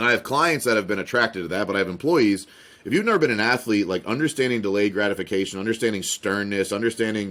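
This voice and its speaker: Speaking very fast, a man with an American accent has a fairly low pitch and ordinary pitch variation. The recording is very clean, with a silent background. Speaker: business consultant. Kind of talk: podcast interview. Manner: loud.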